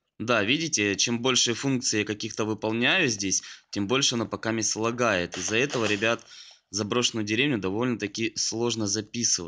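Against a quiet background, a bright, sharp voice keeps a very even loudness at a moderate pace with ordinary pitch variation. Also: man, medium pitch for a man. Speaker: gaming youtuber. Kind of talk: gameplay commentary. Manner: animated.

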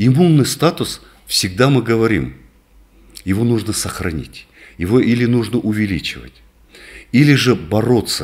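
Lively intonation marks this man's moderate pace, with long, frequent pauses. The background is quiet. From northern Kazakhstan. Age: 60s. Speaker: doctor, rehabilitation specialist; guest. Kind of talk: interview. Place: office. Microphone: studio mic.

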